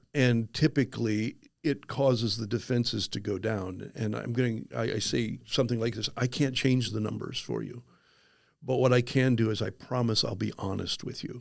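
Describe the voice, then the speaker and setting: On a very clean recording with a silent background, a man with vocal fry talks at a medium pitch and moderate pace, his intonation fairly even. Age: 60s. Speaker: insurance agent, former pastor. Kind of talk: podcast interview. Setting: podcast studio.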